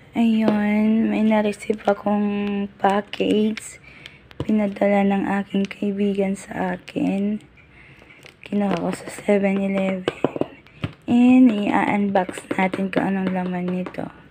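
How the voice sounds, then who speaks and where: A woman's very slow, flat, monotone speech at a medium pitch, with noticeable background noise. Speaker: vlogger. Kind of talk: unboxing voice-over. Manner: casual, chatty.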